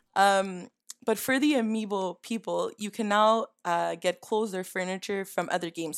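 An unremarkable speaking voice with ordinary pitch variation, delivered at a moderate pace. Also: woman. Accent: Canadian. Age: 20s. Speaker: gaming podcast panelist. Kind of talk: casual chat. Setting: video call.

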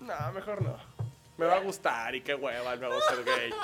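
A man talks at a fairly quick pace in a raised, projected voice with an animated tone. Music plays in the background. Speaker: comedian. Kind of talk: casual chat.

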